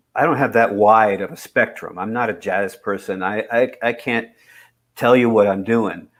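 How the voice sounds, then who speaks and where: A normal speaking voice at a moderate pace, with fairly even intonation, comes through a very clean recording over a silent background. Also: man, medium pitch for a man. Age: 60s. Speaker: singer-songwriter. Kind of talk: casual chat.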